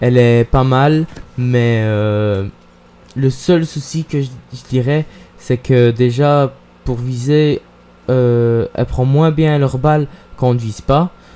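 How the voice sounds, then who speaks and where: A man with a medium pitch talks very slowly in fairly even intonation, leaving long, frequent pauses. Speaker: gaming YouTuber. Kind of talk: gameplay commentary vlog.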